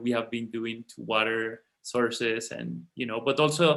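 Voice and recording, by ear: This man speaks at a moderate pace with a medium pitch. His tone is fairly bright, with vocal fry.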